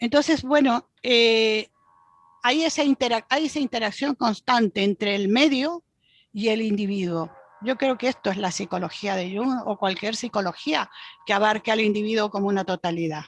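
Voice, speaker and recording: Her fairly high voice moves with lively intonation at a moderate pace. The sound is dry and close with no echo, set against a quiet background. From Chile. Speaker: Jungian psychologist and university professor. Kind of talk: podcast interview answer.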